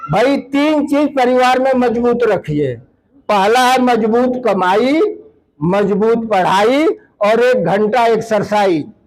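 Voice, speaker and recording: Extremely high in pitch, a man talks with ordinary pitch variation. His loudness stays very even. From eastern Uttar Pradesh, Mau district. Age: 60s. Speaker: land donor for education, community speaker. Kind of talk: public speech.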